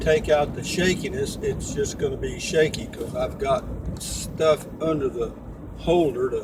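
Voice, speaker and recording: Noticeable background noise sits behind the recording. A man with a Texan accent speaks at a moderate pace. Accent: Texan Southern. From Central Texas. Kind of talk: casual talk to camera. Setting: in a moving car.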